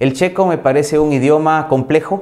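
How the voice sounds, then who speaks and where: A man's dark, mellow tone at a moderate pace, with ordinary pitch variation and a quiet background. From Ecuador. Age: 40s. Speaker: insurance company manager; guest. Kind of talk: interview monologue. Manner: halting, with fillers. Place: home room.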